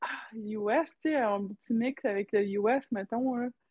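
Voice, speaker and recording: Her pitch is fairly high. The woman's pitch varies in an ordinary way. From Quebec. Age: 20s. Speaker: professional hockey player. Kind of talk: interview.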